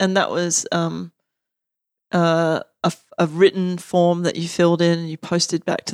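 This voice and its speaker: A woman speaks with an Australian accent. The sound is dry and close with no echo, on a very clean recording with a silent background. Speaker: academic and activist. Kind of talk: casual chat.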